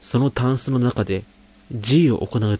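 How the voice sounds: The voice reads naturally, its pitch rising and falling in the usual way.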